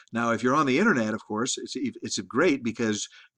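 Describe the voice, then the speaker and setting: A man talks fairly quickly with a quiet background behind him. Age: 60s. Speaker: college instructor. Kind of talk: lecture. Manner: halting, many repeated words; casual, conversational.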